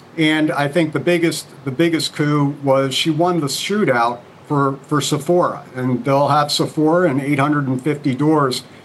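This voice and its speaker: A man with a fairly high voice talks at a fairly slow pace, with hardly any pauses and fairly even intonation. Noticeable background noise runs underneath. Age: 60s. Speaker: company CEO. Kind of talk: TV interview.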